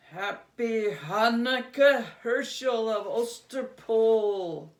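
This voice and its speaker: This is a put-on character voice with a fairly high pitch. The pace is very slow. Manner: creepy.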